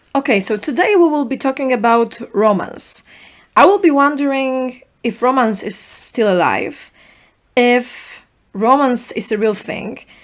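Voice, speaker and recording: A woman speaks in a Polish accent with a high pitch at a fairly slow pace. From Poland. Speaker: podcast host. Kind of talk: solo podcast monologue.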